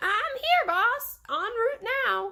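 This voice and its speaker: A woman performs a put-on character voice that is squeaky and extremely high-pitched, with very wide pitch swings. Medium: read story.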